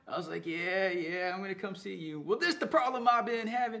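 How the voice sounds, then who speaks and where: A man with an American accent speaks with very wide pitch swings over noticeable background noise. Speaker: podcast co-host. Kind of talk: casual chat.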